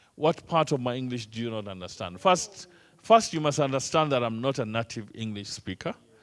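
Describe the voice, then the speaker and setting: Speaking at a fairly quick pace with lively intonation, a man with an East African accent has a medium pitch. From Kenya. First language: Swahili. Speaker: trainer. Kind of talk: lecture.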